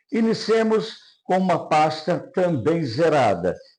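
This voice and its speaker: A man speaks at a very slow pace with lively intonation, and the room echo is audible. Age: 70s. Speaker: NLP trainer. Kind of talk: lecture. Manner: formal.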